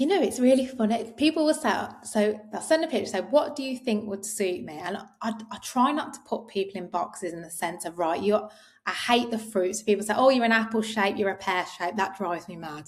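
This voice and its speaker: A woman speaks at a fairly high pitch and a fairly quick pace, with lively intonation and big swings in loudness. Noticeable background noise is present. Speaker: clothing brand co-founder. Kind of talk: interview. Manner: quiet.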